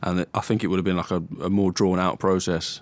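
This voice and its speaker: A southern English accent comes through on a very clean recording with a silent background. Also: man. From southern England, Hertfordshire. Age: 20s. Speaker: mixed martial arts fighter. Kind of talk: casual interview.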